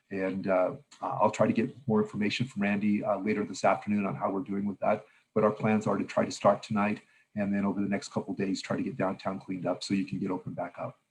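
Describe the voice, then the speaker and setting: Speaking very fast, a man delivers his words in a monotone, flat intonation at a fairly low pitch. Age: 60s. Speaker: mayor. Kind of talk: press conference. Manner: hesitant, many fillers.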